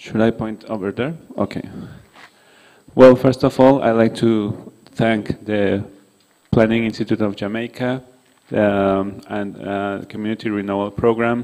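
A man's dark, mellow voice with a non-native accent, fairly slow and fairly even in intonation, with long, frequent pauses. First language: not English. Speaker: conference speaker on violence prevention; presenter. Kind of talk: conference presentation. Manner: halting, many fillers. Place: hall. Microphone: podium.

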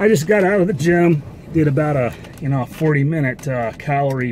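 Over light background noise, a man speaks at a fairly slow pace. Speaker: box truck driver vlogger. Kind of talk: casual vlog chat. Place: car. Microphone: phone near.

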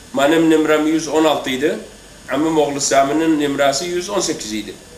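With audible room echo and light background noise, a man of fairly high pitch speaks at a moderate pace in a monotone, flat intonation. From Iraq, Kirkuk area (Turkmen); Iraq. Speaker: former political prisoner. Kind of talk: testimony. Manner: halting. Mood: calm, somber. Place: garden.

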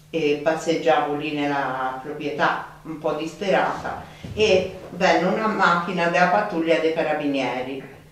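A woman's low-pitched voice in strong room echo. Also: ordinary pitch variation, moderate pace, few pauses.

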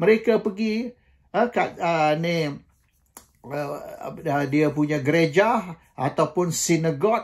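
The man's pitch is high and his pitch variation ordinary. He talks at a very slow pace over a quiet background. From Malaysia. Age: 70s. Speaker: political commentator. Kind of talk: monologue commentary. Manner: hesitant with frequent fillers; code-switching Malay and English. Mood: dismissive, argumentative. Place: home room. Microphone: phone near.

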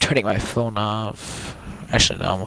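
A man with fairly low pitch at a fairly slow pace, the sound dry with no echo. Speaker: video game player. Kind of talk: casual gaming banter. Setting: online voice chat. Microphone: headset.

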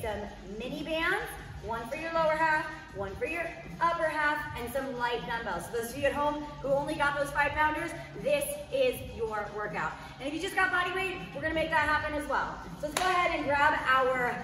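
Over light background noise and audible room echo, a woman speaks in a raised, projected voice at a moderate pace. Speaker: fitness instructor. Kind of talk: workout class instruction. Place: gym.

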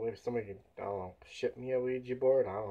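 A man's fairly even intonation at a moderate pace. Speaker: home vlogger. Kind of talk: casual vlog chat. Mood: telling a spooky story. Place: home room. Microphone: camera far.

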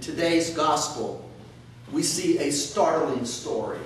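Amid light background noise and strong room echo, a man talks at a fairly slow pace with very wide pitch swings. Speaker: priest. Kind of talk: sermon. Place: church. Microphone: camera far.

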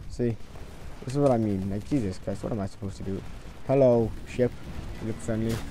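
Against audible room echo, a man at medium pitch talks at a fairly quick pace, broken by long, frequent pauses. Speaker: gaming YouTuber. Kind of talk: gameplay commentary. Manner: animated. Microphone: new mic, voice a bit quiet.

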